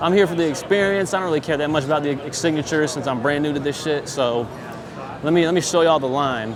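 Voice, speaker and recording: A man with a fairly high pitch speaks at a very fast pace, with ordinary pitch variation. Audible room echo and noticeable background noise are present. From Michigan, small town. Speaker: vlogger. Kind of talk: vlog filmed on the spot. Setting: convention hall. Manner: stuttering.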